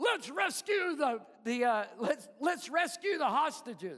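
In a put-on character voice, a man speaks at an extremely high pitch. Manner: cheerful, heroic.

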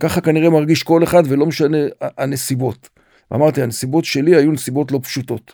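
A man's fairly high voice with a dark, mellow tone, fairly even intonation and a moderate pace, on a very clean recording against a silent background. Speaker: retired senior military officer, nonprofit director. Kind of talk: interview, personal testimony.

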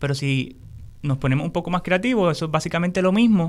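On a very clean recording with a silent background, a man talks at a fairly quick pace in a high voice with ordinary pitch variation. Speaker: agroecology educator. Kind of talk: interview.

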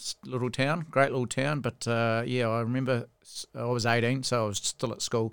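A man talks at a moderate pace with a medium pitch. He has a New Zealand accent. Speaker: rugby coach and former referee. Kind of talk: casual chat. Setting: studio.

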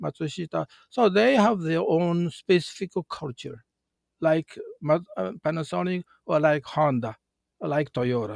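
In a Japanese accent, a man talks at a fairly slow pace with lively intonation and a fairly high pitch, the sound dry and close with no echo. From Japan, countryside. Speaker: retired car company manager. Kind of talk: interview. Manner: halting.

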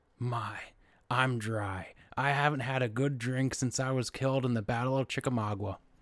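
A raspy, put-on character voice from a man, medium in pitch, at a moderate pace

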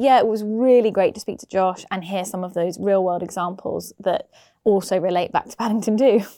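With an unremarkable speaking voice, a woman at medium pitch talks at a fairly quick pace with fairly even intonation and big swings in loudness, in a very clean recording with a silent background. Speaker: podcast host. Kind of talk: casual podcast chat.

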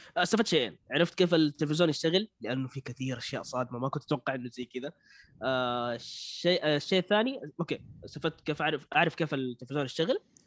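Recorded with a dry, close sound and no echo, a man talks at a very fast pace, his fairly high pitch varying in an ordinary way. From Saudi Arabia. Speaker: beatboxer. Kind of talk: casual chat.

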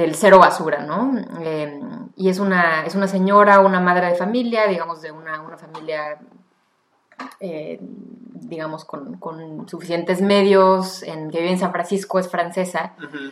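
A woman's plain, everyday voice, fairly low in pitch, with ordinary pitch variation and big swings in loudness at a fairly slow pace. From Mexico. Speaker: tour guide and zero-waste enthusiast. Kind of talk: casual chat.

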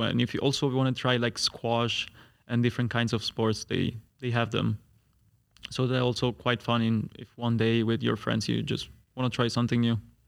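A man with an Italian accent talks at a moderate pace in a flat monotone on a very clean recording with a silent background. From Italy. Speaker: master's student. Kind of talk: casual chat.

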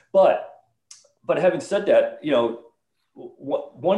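In an American accent, a man talks at a moderate pace with a dark, mellow tone. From northern Illinois. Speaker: retired army officer and author. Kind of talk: interview.

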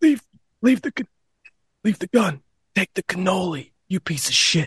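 In a put-on character voice at a middle pitch, the speaker talks at a moderate pace.

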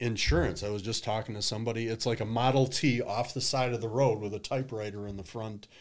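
With a Midwestern American accent, a man speaks at a fairly quick pace. His intonation stays fairly even. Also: very clean recording, silent background. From US Midwest, Detroit. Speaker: social media marketing consultant. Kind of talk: casual interview.

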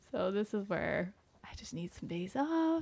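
A woman speaks at a moderate pace with lively intonation. Her tone is dark and mellow, somewhat breathy. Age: 40s. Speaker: podcast co-host, physician. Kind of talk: casual chat.

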